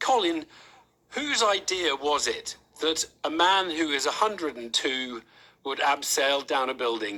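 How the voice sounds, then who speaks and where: A man with a normal speaking voice, fairly high in pitch, with lively intonation at a fairly slow pace. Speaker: radio presenter. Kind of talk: radio news interview.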